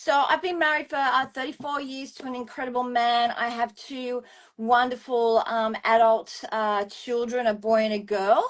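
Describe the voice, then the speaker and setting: A woman with an Australian accent talks at a moderate pace and a high pitch. Her pitch variation is ordinary, while her loudness swings widely. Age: 60s. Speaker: former professional dancer, wellness business owner. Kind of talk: interview answer.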